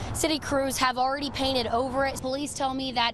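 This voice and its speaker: A woman speaks with an American accent at a high pitch and a fairly quick pace. Noticeable background noise is present. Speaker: TV news reporter and anchor. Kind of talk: live shots and standups, news reporter delivery. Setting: outdoors on location.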